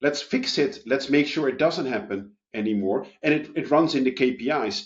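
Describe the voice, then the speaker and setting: A man's unremarkable speaking voice, fairly high in pitch, with ordinary pitch variation and a moderate pace. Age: 30s. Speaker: payroll expert and author. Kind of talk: podcast interview.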